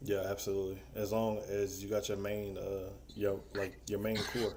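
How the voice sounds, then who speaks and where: A man speaks in a monotone, flat way at a moderate pace. Audible room echo surrounds his voice. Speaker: livestream panelist. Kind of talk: casual chat. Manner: frequent filler word like.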